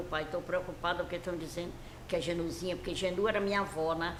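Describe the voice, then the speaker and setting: A woman's medium-pitched voice at a fairly quick pace with fairly even intonation, along with audible room echo and noticeable background noise. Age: 80s+. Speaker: elderly interviewee recalling her life. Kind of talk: interview.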